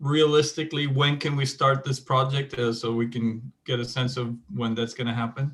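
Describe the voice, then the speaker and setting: A man with a non-native accent speaks at a moderate pace and medium pitch, with fairly even intonation. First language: not English. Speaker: city councilmember. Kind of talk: council meeting questions.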